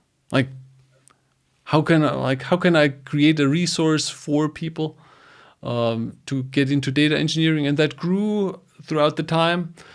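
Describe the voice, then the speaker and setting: Recorded very cleanly with a silent background, a man with a German accent speaks at a fairly slow pace, his fairly high voice held to fairly even intonation. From Germany. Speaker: data engineering educator. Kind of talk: podcast interview. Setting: home studio, live stream.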